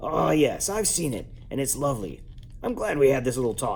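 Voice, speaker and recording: Using a put-on character voice, a man talks in a raspy tone at a medium pitch and a fairly quick pace. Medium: read story. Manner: smooth, scheming.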